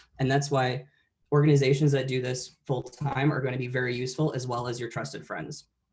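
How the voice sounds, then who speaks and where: A man's somewhat breathy voice at a medium pitch, flat and monotone in intonation. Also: fairly quick pace. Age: 20s. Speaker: veteran and college presenter. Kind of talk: conference presentation.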